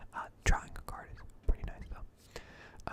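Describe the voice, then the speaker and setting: A whisper amid noticeable background noise. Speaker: ASMR gaming content creator. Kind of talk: quiet whispered gaming commentary for sleep. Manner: quiet, whispered, relaxing.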